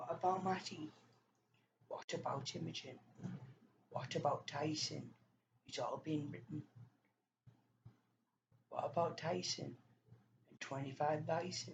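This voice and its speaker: A woman's very deep, low, somewhat breathy voice at a fairly slow pace, with ordinary pitch variation, big swings in loudness and long, frequent pauses. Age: 20s. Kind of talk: casual talk to camera.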